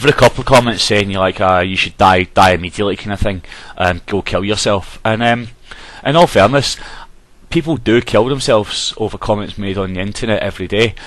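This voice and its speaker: A man with a Glaswegian accent speaks at a fairly quick pace in a fairly low pitch, with ordinary pitch variation. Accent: Glaswegian Scottish. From Glasgow, Scotland. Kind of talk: casual talk to camera. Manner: hesitant, frequent ums.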